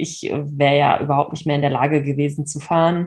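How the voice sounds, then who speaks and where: Her voice is very deep and low for a woman, and somewhat breathy. She talks at a moderate pace. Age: 30s. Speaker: horse owner and social media creator. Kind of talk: personal story in interview.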